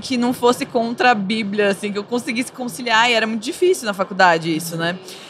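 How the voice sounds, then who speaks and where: Over noticeable background noise, a woman speaks very fast, her pitch varying in an ordinary way. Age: 20s. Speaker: psychologist. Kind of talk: casual chat.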